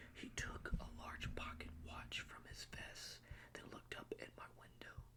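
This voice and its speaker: A whisper moves at a very slow pace, with noticeable background noise behind it. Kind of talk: read story. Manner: whispered.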